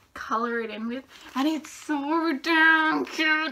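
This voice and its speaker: A woman in a raised, projected voice sounds upbeat, with lively intonation, over noticeable background noise. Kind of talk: casual talk to camera. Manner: upbeat, excitable.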